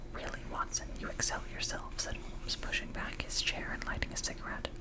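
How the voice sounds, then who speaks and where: Against noticeable background noise, a fairly quick whisper comes from a woman. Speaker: ASMR content creator. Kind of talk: whispered ASMR audiobook reading of a classic novel. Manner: whispered, soft, relaxing.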